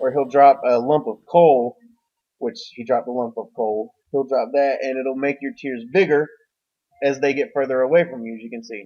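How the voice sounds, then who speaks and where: Moving at a moderate pace, the speech has ordinary pitch variation and big swings in loudness. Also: man, medium pitch for a man. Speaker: gaming YouTuber. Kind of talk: voiceover commentary over gameplay. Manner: casual, rambling.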